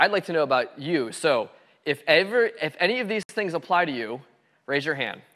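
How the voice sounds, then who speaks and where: On a very clean recording with a silent background, a man with a bright, sharp tone speaks at a fairly quick pace, his intonation lively and his tone animated. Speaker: guest lecturer, software developer. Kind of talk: lecture. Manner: fast.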